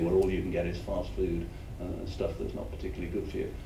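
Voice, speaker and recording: A man speaks over noticeable background noise. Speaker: former health service chief executive. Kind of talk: conference talk.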